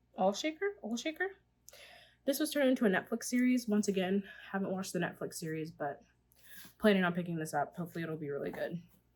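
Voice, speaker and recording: Very fast, somewhat breathy speech with very wide pitch swings and long, frequent pauses. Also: woman, medium pitch for a woman. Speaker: book vlogger. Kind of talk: casual chat.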